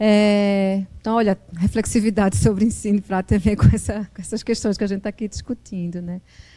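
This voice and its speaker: At a fairly quick pace, a woman speaks with a medium pitch and a dark, mellow tone. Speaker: journalist and professor. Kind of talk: lecture. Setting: classroom with live audience. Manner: hesitant, with many fillers and repetitions.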